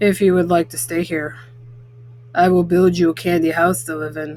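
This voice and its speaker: A woman puts on a raspy character voice. Background noise is clearly heard. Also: fairly low pitch for a woman, moderate pace. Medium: read story. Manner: fussy, proud.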